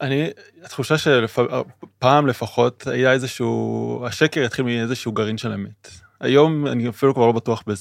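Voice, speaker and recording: Speaking at a fairly slow pace, a man uses a plain, everyday voice of medium pitch with fairly even intonation. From Israel. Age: 30s. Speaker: podcast co-host, philosophy student. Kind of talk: casual chat.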